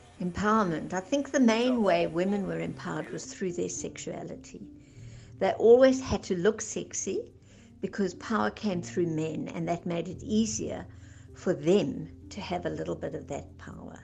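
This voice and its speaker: Loudness swings a lot in this moderately paced voice, with music in the background. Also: woman. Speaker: filmmaker's older relative sharing memories. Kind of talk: reading aloud a personal letter.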